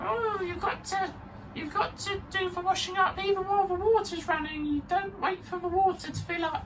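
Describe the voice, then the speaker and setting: An extremely high-pitched, put-on character voice moves at a moderate pace. Clear background noise sits behind it. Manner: cackly, exaggerated witchy tone.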